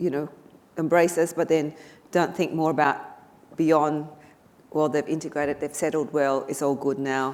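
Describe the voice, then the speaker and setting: A woman's very deep, low voice with a slight Vietnamese accent, monotone and flat, at a moderate pace with long, frequent pauses. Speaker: politician. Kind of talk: panel discussion. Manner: halting.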